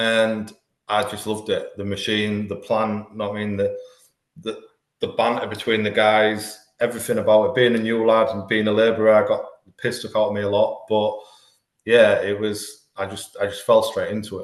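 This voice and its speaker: The man's voice carries audible room echo. His pace is moderate. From northern England, Hull. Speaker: life coach, former demolition worker. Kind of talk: podcast interview. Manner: halting.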